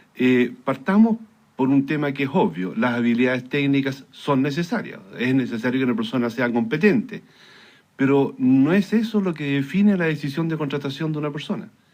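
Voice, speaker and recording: Lively intonation marks this man's fairly high-pitched voice at a moderate pace. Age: 60s. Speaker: engineer and career consultant. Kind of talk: radio interview. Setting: radio studio. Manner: hesitant, many fillers.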